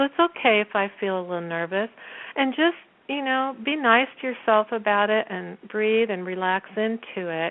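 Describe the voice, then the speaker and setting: Lively intonation marks this woman's fairly high-pitched voice. She talks at a moderate pace. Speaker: theater school teacher and performer. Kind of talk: interview. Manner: halting.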